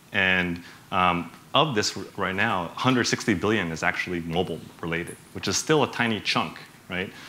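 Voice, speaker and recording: A man with a very deep, low voice and an American accent, at a fairly quick pace with ordinary pitch variation and audible room echo. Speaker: bank executive, conference speaker. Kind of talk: conference talk. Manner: animated; many fillers, casual.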